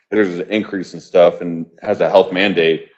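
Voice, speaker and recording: A man is speaking. His pace is moderate. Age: 30s. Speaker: public commenter at council meeting. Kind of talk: public comment. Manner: animated.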